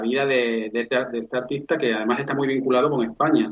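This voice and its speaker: A man speaks at a fairly quick pace and medium pitch. He has a plain, everyday voice. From Spain, Seville. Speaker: book publisher. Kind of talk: interview.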